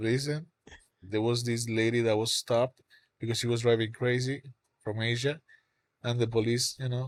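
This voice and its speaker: A man speaks at a moderate pace in a monotone, flat intonation, with long, frequent pauses and a dry, close sound with no echo. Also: medium pitch for a man. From Cuba. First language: Spanish. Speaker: songwriter. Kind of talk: casual chat.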